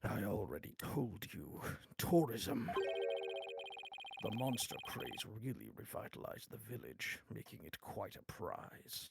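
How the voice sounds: At a fairly slow pace, the man speaks in a put-on character voice.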